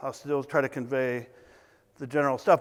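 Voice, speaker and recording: This man mumbles his words. His pace is moderate. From US South. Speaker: consultant. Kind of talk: conference talk. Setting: stage with audience. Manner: mumbling.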